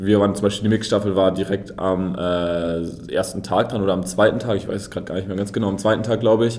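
A man's fairly low voice at a very fast pace, fairly even in intonation, with audible room echo. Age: 20s. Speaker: sprinter. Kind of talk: interview.

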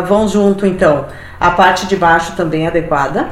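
A woman with a fairly low pitch speaks amid noticeable background noise and audible room echo. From Brazil, Rio Grande do Sul (Passo Fundo area). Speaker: hiking enthusiast. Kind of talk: casual interview. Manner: halting, with filler repetitions.

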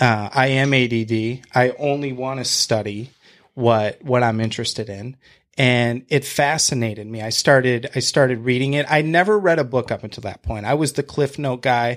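An ordinary speaking voice, this man's is medium in pitch with ordinary pitch variation and an American accent. He keeps a moderate pace in a very clean recording with a silent background. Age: 30s. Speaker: real estate agent and house flipper. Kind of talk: casual interview chat.

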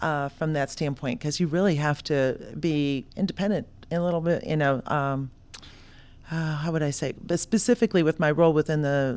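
A woman speaks with an American accent and a very deep, low pitch. Her pace is fairly quick. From South Florida. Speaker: entrepreneur, founder of a consulting company. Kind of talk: podcast interview.

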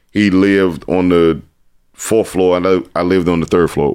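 A man with an American accent and a very deep, low voice, fairly even intonation, moderate pace. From Washington, D.C. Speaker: retired basketball player. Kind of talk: casual interview.

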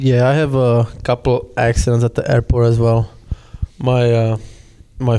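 A man's dark, mellow voice at medium pitch, with a Czech accent and a fairly slow pace. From Czech Republic. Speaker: hockey player. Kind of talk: casual chat. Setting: locker room.

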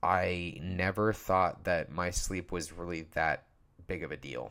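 In a very deep, low pitch, a man talks at a very slow pace. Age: 20s. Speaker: podcaster. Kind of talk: casual solo podcast monologue. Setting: podcast recording, audio only. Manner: informal, halting with fillers; casual, candid.

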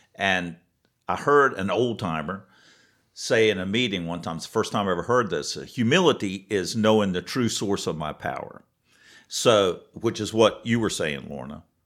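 In a normal speaking voice, a man with a fairly low pitch talks at a moderate pace with lively intonation on a very clean recording with a silent background. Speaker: podcast co-host in recovery. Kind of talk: casual chat.

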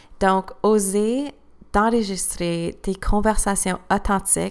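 At a very slow pace, a woman talks in a medium pitch. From Eastern Ontario, Canada (Cornwall area). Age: 20s. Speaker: new teacher and podcast host. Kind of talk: scripted personal testimony. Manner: read-aloud, prepared delivery.

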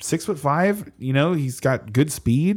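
Somewhat breathy, this voice moves at a moderate pace with very wide pitch swings in a very clean recording with a silent background. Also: man. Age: 30s. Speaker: fantasy football podcast co-host. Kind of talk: casual chat. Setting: live stream.

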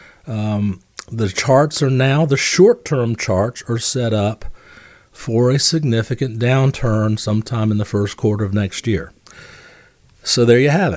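A man with an unremarkable speaking voice, medium pitch, ordinary pitch variation and a fairly slow pace. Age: 60s. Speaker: financial advisor and radio host. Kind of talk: radio call-in style financial advice show. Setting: radio studio.

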